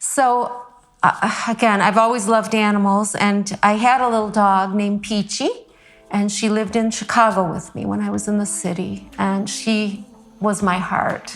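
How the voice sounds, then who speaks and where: With a Midwestern American accent, a woman talks at a moderate pace in a medium pitch and monotone, flat intonation over noticeable background noise. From Michigan. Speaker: classically trained vocalist and visual artist. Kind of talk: interview answer.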